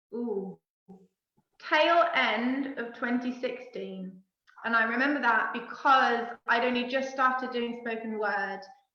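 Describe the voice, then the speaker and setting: Speaking in a Cornish accent, a woman uses a high voice at a fairly slow pace with fairly even intonation. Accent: Cornish, noticeable on certain words. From Cornwall, England. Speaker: poet. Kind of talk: casual chat.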